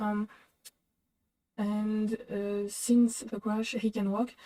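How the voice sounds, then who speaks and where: A woman speaks at a fairly high pitch in a monotone, flat intonation. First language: not English. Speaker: reaction video host. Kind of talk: reaction commentary. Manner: halting, many fillers.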